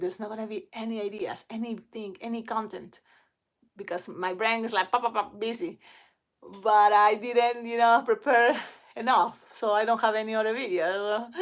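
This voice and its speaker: A woman speaks in a strong Spanish accent at a fairly high pitch and a moderate pace. The recording is very clean, with a silent background. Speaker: balloon twister. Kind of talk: casual livestream chat. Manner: halting.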